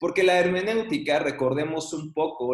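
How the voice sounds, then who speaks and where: This man's voice sits fairly high, with ordinary pitch variation. He talks at a moderate pace, and room echo is audible. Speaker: Bible teacher. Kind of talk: online class lecture.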